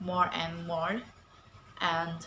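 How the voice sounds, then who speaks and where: A woman speaks at a fairly low pitch, with audible echo from the room. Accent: non-native. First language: not English. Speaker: English language student. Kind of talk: prepared speech. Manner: halting, many fillers.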